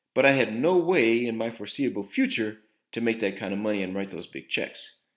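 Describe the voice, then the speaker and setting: A man speaks in a plain, everyday voice at a medium pitch, with lively intonation and a fairly quick pace. The recording is very clean, with a silent background. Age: 60s. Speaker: entrepreneur and investor. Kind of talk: investor pitch.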